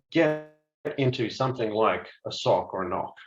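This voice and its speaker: Ordinary pitch variation at a moderate pace, with an Australian accent. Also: man. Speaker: cybersecurity product executive. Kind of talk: webinar presentation.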